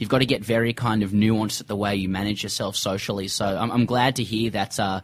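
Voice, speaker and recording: A man speaks at a fairly quick pace in an Australian accent. His pitch is fairly low and his intonation monotone and flat. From Sydney, Australia. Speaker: comedy cricket podcaster and author. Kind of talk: casual interview.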